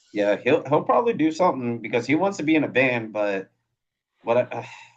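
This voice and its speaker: A man's plain, everyday voice in an American accent, medium in pitch, with lively intonation and a fairly quick pace. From Iowa, US Midwest. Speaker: podcast host. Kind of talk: casual interview chat. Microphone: phone mics.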